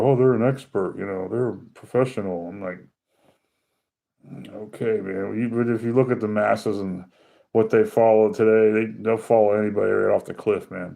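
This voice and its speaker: His voice is fairly low for a man. He talks at a fairly quick pace. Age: 50s. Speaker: knife collector. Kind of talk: casual chat. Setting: live stream. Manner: animated.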